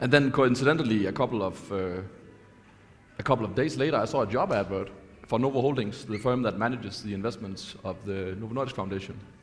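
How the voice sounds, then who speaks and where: With music in the background, a man talks at a very fast pace, his medium pitch showing ordinary variation. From Denmark. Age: 30s. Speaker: fund manager. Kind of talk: panel discussion.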